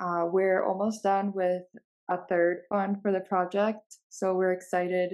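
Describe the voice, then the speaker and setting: Very slow speech from a woman at medium pitch. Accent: New Jersey. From Bulgaria, moved to New Jersey as a child. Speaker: company co-founder. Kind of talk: casual interview.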